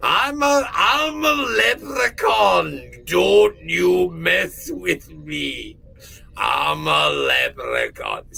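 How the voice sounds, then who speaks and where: A man uses a put-on character voice. He speaks at a very slow pace over light background noise. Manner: mock, exaggerated.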